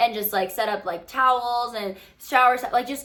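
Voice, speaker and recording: This woman talks at a moderate pace with fairly even intonation. Her voice sits fairly high. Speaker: podcast host. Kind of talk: casual chat. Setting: home bedroom. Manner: halting, many fillers.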